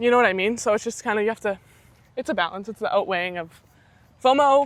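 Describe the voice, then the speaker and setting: A woman's very fast, fairly high-pitched speech with a Canadian accent. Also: ordinary pitch variation. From Saskatchewan, Canada. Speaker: university athlete. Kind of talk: casual interview chat.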